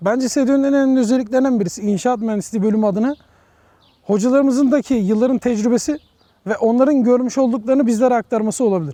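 Speaking at a very fast pace, a man with an extremely high voice keeps his loudness very even. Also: ordinary pitch variation. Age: 20s. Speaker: civil engineering student. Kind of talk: interview.

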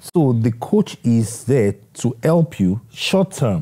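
A man speaks with a dark, mellow tone that is somewhat breathy. The background is quiet. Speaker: interview guest. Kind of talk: interview answer. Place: home room. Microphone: lapel.

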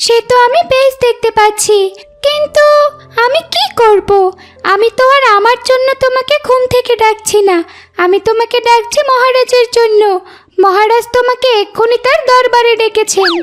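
Using a cartoonish character voice, a woman speaks at an extremely high pitch and a moderate pace.

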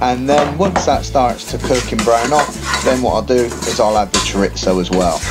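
With music in the background, the speech moves at a fairly quick pace. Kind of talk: cooking tutorial narration.

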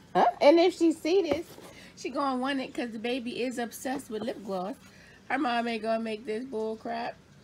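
A woman keeps an even tempo as loud noise fills the background. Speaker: family vlogger. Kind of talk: casual vlog chat. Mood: exasperated, joking. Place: home room. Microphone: phone near.

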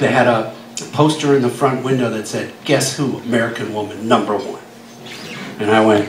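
Audible room echo and light background noise surround a man whose intonation stays fairly even. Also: moderate pace. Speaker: guest. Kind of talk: storytelling panel talk. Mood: humorous, relaxed. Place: bar. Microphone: camera far.

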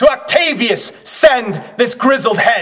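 A man's put-on character voice at an extremely high pitch, slow, with a fairly bright tone and big pitch swings.

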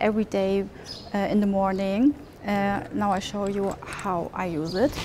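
A woman speaks at a very slow pace with ordinary pitch variation over light background noise. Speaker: travel vlogger. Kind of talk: sponsored product presentation. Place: street. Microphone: lapel.

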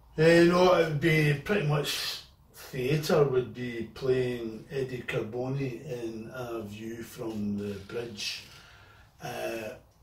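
There is audible room echo as a man speaks with ordinary pitch variation. Light background noise sits behind him. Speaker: guest actor. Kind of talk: interview answer. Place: garage. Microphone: camera far.

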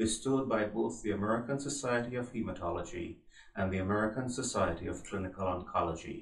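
A man speaks at a fairly quick pace with ordinary pitch variation. There is audible room echo against a quiet background. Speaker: journal editor hosting interview. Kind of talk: formal interview introduction. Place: office.

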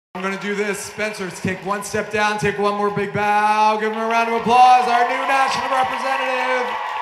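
Over crowd noise, a man with a high voice speaks at a moderate pace and hardly pauses. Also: ordinary pitch variation. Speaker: awards ceremony announcer. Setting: stage with audience. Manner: upbeat, emotionally invested, pausing to praise and console the young dancers. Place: stage.

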